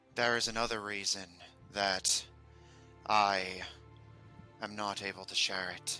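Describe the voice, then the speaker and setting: A man uses a put-on character voice, fairly low-pitched and flat in tone, speaking at a fairly slow pace with long, frequent pauses over clear background music. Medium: actual play. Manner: formal, grave.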